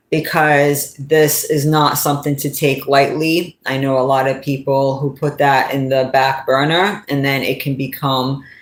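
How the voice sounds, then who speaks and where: A woman speaks with a New England accent at a fairly slow pace. Her pitch is very deep and low. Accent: New England, often mistaken for New York. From New England, US. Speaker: YouTuber and commentator. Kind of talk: casual vlog monologue.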